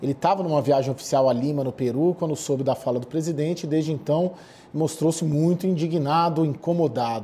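With a plain, everyday voice, a man speaks at a fairly high pitch and a fairly quick pace, with ordinary pitch variation. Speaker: political correspondent. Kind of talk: live news report.

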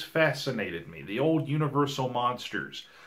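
A man with a Southern US accent and a fairly high pitch talks at a moderate pace against a quiet background. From US South. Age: 30s. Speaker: podcast host. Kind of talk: casual podcast chat. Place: home room.

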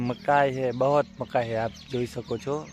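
A plain, everyday voice speaks, its pitch varying in an ordinary way. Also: man. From Gujarat, Panchmahal district. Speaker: farmer and small vlogger. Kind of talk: casual vlog. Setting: outdoors in a maize field.

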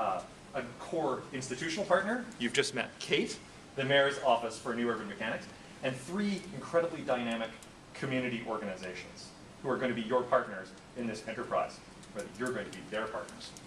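A man's medium-pitched voice at a fairly quick pace, with lively intonation and noticeable background noise. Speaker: course instructor. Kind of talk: lecture. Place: classroom.

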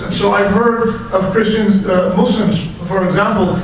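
A man speaks at a high pitch and a moderate pace. Audible room echo and light background noise are present. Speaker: preacher. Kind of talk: sermon. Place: hall.

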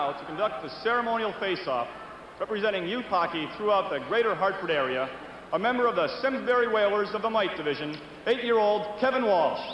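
Lively intonation at a fairly quick pace, with noticeable background noise. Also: man, high pitch for a man. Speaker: arena public address announcer. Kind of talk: formal player introductions over PA. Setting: PA system in hockey arena. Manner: formal, ceremonial.

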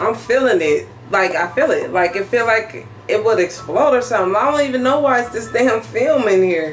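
Lively intonation from a woman, with music in the background. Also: moderate pace. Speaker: vlogger. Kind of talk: casual vlog chat. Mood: puzzled, mildly annoyed. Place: kitchen.

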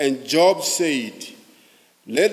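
A man's voice at a very slow pace, with ordinary pitch variation. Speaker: pastor. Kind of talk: scripture reading. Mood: solemn, measured. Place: church. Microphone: podium.

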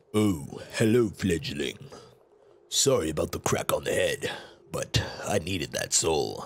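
A raspy, put-on character voice from a man, fairly slow and broken by long, frequent pauses. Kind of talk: reading game dialogue aloud with a voice. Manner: wry, apologetic.

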